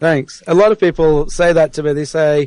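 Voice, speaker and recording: The man's pitch is fairly high, with ordinary pitch variation and an American accent. The sound is dry and close, with no echo. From South Yorkshire, England (near Rotherham). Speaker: anarchist activist, guest. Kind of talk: radio interview.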